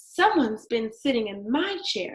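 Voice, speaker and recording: Putting on a character voice, a woman speaks raspy and fairly high at a moderate pace, swinging her pitch very widely. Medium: read story.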